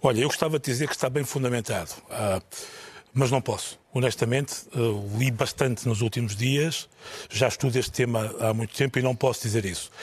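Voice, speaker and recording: A man talks at a fairly quick pace in a medium pitch, somewhat breathy, with fairly even intonation. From northern Portugal. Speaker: TV journalist. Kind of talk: panel discussion.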